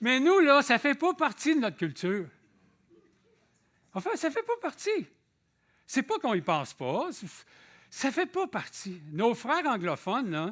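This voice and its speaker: In a Quebec accent, a man speaks at a fairly slow pace with long, frequent pauses, his extremely high-pitched voice making very wide pitch swings. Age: 60s. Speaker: visiting preacher. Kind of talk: sermon. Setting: church. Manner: conversational.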